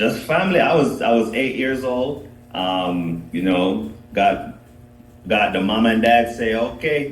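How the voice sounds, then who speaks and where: This man talks fairly slowly at a medium pitch, in a Jamaican accent with lively intonation. Noticeable background noise and audible room echo surround him. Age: 30s. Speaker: dancehall artist. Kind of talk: podcast interview.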